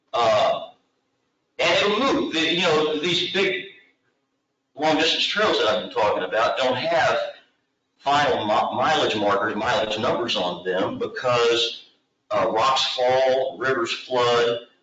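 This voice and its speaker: A man with an American accent speaks at a very slow pace with long, frequent pauses. Audible room echo surrounds his voice. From Texas. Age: 60s. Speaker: long-distance trail developer and hiker. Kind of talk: presentation at public committee meeting.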